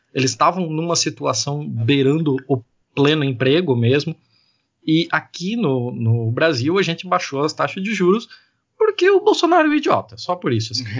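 A man's normal speaking voice, fairly high in pitch, fairly quick in pace, and lively in intonation. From Joinville, Santa Catarina, southern Brazil. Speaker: podcaster and data analyst. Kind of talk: casual chat. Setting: remote recording.

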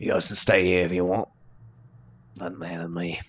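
A man's put-on character voice, gruff and raspy, very deep and low in pitch, with monotone, flat intonation at a fairly quick pace. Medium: actual play. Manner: gruff and profane.

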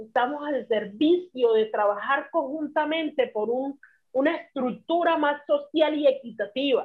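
With a high pitch and ordinary variation, a woman talks at a fairly slow pace. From Colombia, Chocó (Río Sucio). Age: 30s. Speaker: social activist, conflict victim. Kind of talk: casual interview chat.

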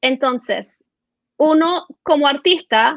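Her voice is high-pitched, and this woman shows ordinary pitch variation. The sound is dry and close with no echo, over a quiet background. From Venezuela and Florida. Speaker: entrepreneur, children's media executive. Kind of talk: interview.

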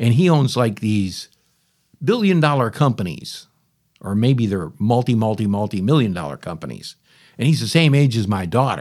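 A man talks at a moderate pace and a medium pitch, with very wide pitch swings. The recording is very clean, the background silent. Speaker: podcast host. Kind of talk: casual monologue. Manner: rambling, conversational.

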